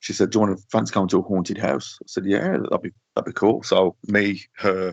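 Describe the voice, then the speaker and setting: In a dry, close sound with no echo, a man with a Yorkshire accent talks at a moderate pace in a very deep, low pitch with fairly even intonation. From northern England. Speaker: social media paranormal page runner. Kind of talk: casual chat.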